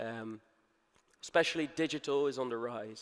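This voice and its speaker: Speaking at a moderate pace and medium pitch, a man uses fairly even intonation in an unremarkable speaking voice. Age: 30s. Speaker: conference speaker, media advertising executive. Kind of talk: conference talk. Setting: stage with audience.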